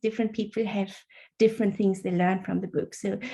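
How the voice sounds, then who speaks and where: Somewhat breathy and dark, mellow in tone, a woman speaks at a fairly high pitch with fairly even intonation. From Germany. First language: German. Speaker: author. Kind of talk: interview.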